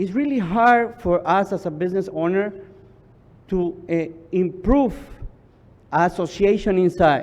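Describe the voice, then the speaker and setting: A man speaks with a Spanish accent in a dark, mellow tone. His pitch varies in an ordinary way. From Ecuador. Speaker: business association leader. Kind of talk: public testimony. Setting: public hearing. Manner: halting.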